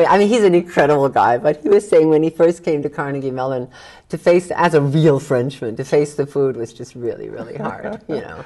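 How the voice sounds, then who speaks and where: A woman with a very deep, low voice talks at a fairly quick pace with lively intonation over noticeable background noise. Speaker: business communication coach. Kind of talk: interview answer.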